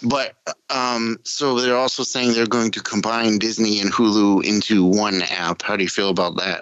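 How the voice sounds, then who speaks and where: Speaking with an American accent, a man keeps a fairly low pitch, fairly even intonation, very even loudness and a moderate pace. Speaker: podcast host. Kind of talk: casual chat.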